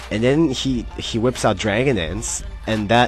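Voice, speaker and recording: Music plays in the background. Over it, a man is speaking. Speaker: gamer narrating battles. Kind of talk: game commentary. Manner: fast; casual, hesitant.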